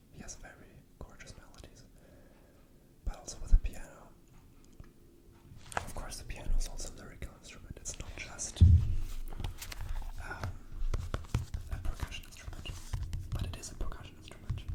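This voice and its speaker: A man whispers in a relaxed tone, leaving long, frequent pauses, with big swings in loudness. Background noise is noticeable. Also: moderate pace. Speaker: classical pianist and composer making ASMR videos. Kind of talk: casual talk to camera about classical music. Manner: relaxed, conversational rambling with pauses.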